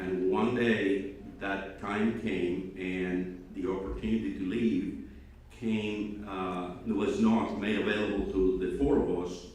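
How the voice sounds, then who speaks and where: With audible room echo, a man speaks at a fairly low pitch in a Spanish accent. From Cuba. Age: old. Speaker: speaker at student awards ceremony. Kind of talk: speech to students. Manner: halting, many fillers.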